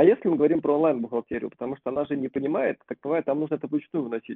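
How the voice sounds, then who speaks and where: Speaking at a very fast pace with hardly any pauses, a man uses a fairly high pitch. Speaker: podcast co-host. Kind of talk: casual chat.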